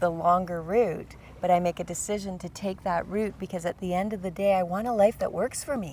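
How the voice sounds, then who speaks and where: A woman has an ordinary speaking voice. Her pitch is medium and her intonation fairly even. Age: 60s. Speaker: podcast co-host. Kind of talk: casual chat.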